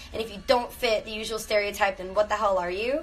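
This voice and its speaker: A woman with an American accent at a very fast pace, music in the background. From Miami, Florida (born Venezuela, Cuban parents). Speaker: actress. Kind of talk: livestream casual chat. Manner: casual, filler-heavy.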